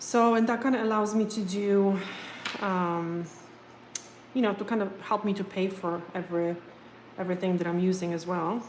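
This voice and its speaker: In a room with audible echo, a woman speaks at a moderate pace and medium pitch with fairly even intonation and long, frequent pauses. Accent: non-native. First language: not English. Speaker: nail technician. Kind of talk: live stream chat and tutorial. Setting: home live stream. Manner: casual, hesitant with fillers.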